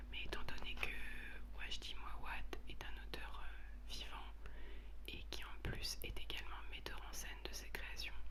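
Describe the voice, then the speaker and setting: Whispering and soft-spoken, a woman talks in a calm tone at a very slow pace over noticeable background noise. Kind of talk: whispered explanation of stage directions, talking to the audience. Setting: home recording, basic equipment. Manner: whispered, soft, calm.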